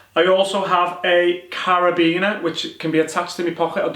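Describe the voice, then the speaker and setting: Against noticeable background noise, a man talks with a strong Liverpool accent. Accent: strong Liverpool (Scouse). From northern England, Liverpool. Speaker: soldier and survival instructor. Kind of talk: tutorial. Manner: casual, conversational.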